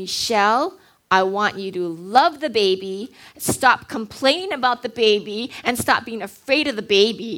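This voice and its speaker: A woman's booming, put-on character voice at a fairly high pitch and moderate pace. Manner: commanding, authoritative.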